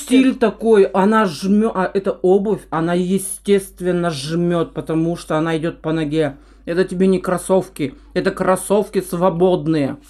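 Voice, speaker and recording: Ordinary pitch variation in a woman's speech, set against a quiet background. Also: fairly slow pace. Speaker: food vlogger. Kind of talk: casual mukbang chat. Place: kitchen. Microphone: camera far.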